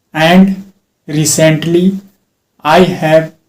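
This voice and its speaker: In an Indian accent, a man speaks at a fairly high pitch with fairly even intonation. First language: Hindi. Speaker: English teacher. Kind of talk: self-talk speaking practice.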